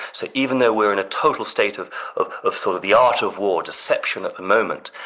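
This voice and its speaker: A man talks fairly quickly while noticeable background noise comes through. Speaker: astrologer. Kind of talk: interview.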